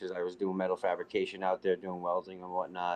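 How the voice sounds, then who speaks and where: With a Northeast US accent, a man speaks in a very deep, low voice. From New Jersey (born Staten Island, New York). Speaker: league player. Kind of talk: casual interview chat.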